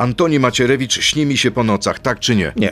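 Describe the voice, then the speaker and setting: A man with an unremarkable speaking voice talks at medium pitch and a moderate pace, with ordinary pitch variation. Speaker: radio host. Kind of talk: radio interview.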